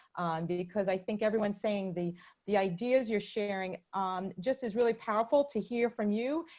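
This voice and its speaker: In an American accent, the speaker talks at a moderate pace with ordinary pitch variation against a quiet background. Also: woman, medium pitch for a woman. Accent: Brooklyn accent, usually hidden. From Brooklyn, New York (East Flatbush). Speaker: webinar moderator. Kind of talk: webinar discussion.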